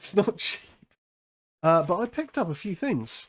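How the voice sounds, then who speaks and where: With an English accent and ordinary pitch variation, a man speaks in a very clean recording against a silent background. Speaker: horror podcast host. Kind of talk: casual chat. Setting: live stream.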